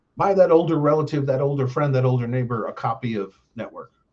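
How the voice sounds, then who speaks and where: A somewhat breathy man with an American accent, a fairly high pitch, ordinary pitch variation, and a fairly quick pace. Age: 60s. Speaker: live streamer, political commentator. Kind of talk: casual monologue on a live stream. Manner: rambling, many fillers (um, uh).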